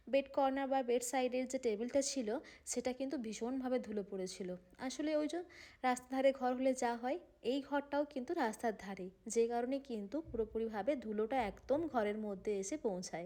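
A woman's high voice with a dark, mellow tone and ordinary pitch variation. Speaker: housewife vlogger. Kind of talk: vlog narration. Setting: at home.

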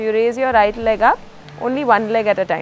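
A woman's voice with music in the background. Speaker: yoga instructor. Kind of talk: exercise class instruction. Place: garden.

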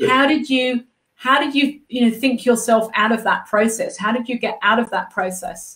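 Her voice is high, her pace moderate, and her tone animated and enthusiastic, with ordinary pitch variation. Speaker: interview show host. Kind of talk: live interview. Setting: artist's studio, streamed live. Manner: animated, enthusiastic. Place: home room.

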